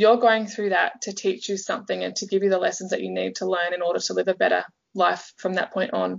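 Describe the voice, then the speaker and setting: A woman speaks with an Australian accent. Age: 20s. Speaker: life coach. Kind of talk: interview storytelling. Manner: animated.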